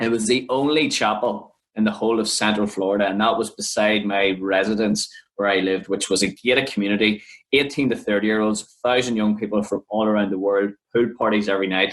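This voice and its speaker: Speaking very fast with an Irish accent, the man has a fairly low pitch, fairly even intonation and very even loudness. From Ireland. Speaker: podcast co-host, youth minister. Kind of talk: personal testimony.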